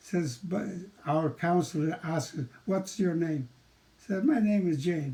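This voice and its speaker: A man is talking. The tone he uses is dark and mellow. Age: 80s+. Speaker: seniors' peer support program leader. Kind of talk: presentation to an audience.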